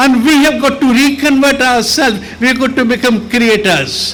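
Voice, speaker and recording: A man speaks at an extremely high pitch. There is audible room echo and noticeable background noise. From India. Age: 80s+. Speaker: architect. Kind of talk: speech.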